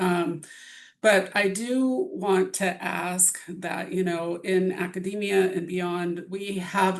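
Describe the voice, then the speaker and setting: Audible room echo around a woman's medium-pitched voice. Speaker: bioethics presenter. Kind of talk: lecture. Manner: shaky voice.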